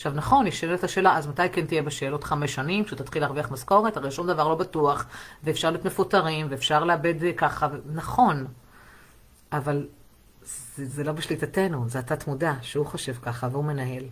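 A woman with a very deep, low pitch sounds somewhat breathy, speaking at a fairly quick pace with ordinary pitch variation. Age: 40s. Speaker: sex therapist. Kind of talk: live stream monologue.

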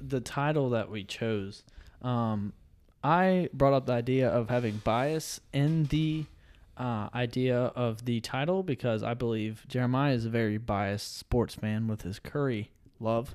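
A man talks at a medium pitch and a fairly slow pace in an unremarkable speaking voice. The recording is very clean, with a silent background. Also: ordinary pitch variation. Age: 20s. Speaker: podcast co-host and nursing student. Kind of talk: casual chat.

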